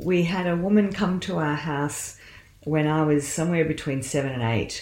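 In an Australian accent, a woman with a very deep, low voice speaks at a moderate pace. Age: 60s. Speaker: medical doctor and counsellor. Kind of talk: interview about faith and career.

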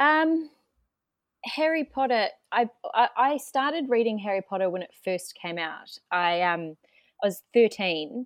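In a New Zealand accent, a woman speaks at a fairly slow pace and a fairly high pitch, her pitch swinging very widely in a dry, close sound with no echo. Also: very clean recording, silent background. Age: 30s. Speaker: event manager. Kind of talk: podcast interview. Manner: halting.

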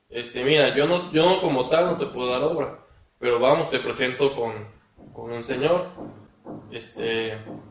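In a room with audible echo, a man of medium pitch talks at a fairly slow pace with long, frequent pauses and ordinary pitch variation. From Mexico, Tabasco (Cárdenas). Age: 20s. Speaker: architect. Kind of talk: casual interview.

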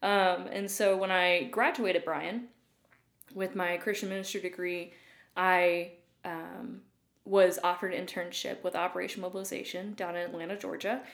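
A woman speaks in an East Tennessee accent at a medium pitch. Her pace is moderate and her intonation fairly even. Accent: Southern US (East Tennessee). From East Tennessee (Loudon, near Knoxville). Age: 20s. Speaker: youth ministry worker. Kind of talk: casual interview.

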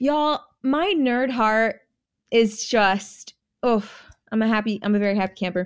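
On a very clean recording with a silent background, a woman speaks with a fairly high pitch, ordinary pitch variation and an animated tone at a fairly slow pace, with long, frequent pauses. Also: very even loudness. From California, born in Jamaica. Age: 20s. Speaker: reality TV contestant. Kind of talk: casual chat.

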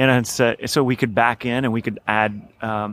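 A normal speaking voice with an American accent moves at a moderate pace. The sound is dry and close, with no echo. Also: man. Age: 30s. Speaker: financial planning professor. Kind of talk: interview. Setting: conference.

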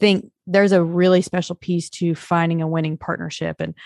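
This woman has a normal speaking voice, fairly low in pitch, and talks at a fairly quick pace. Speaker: podcast host. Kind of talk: interview. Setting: video call.

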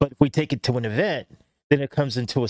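A man with an American accent has an unremarkable speaking voice and fairly even intonation. He talks at a fairly quick pace, and the sound is dry and close with no echo. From Southern California, Los Angeles area. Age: 40s. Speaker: tattoo artist. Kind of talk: casual chat. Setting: studio.

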